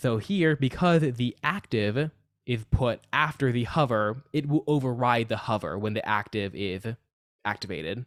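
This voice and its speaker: This is an ordinary speaking voice at a moderate pace. Its intonation is lively. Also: man, medium pitch for a man, dry, close sound with no echo. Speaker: coding teacher. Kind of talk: live online coding class. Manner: casual, many fillers.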